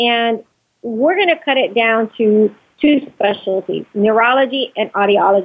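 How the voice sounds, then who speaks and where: At a fairly slow pace, a woman speaks in a normal speaking voice with a fairly high pitch and ordinary pitch variation. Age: 40s. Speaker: entrepreneur, medical device company owner. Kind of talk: interview.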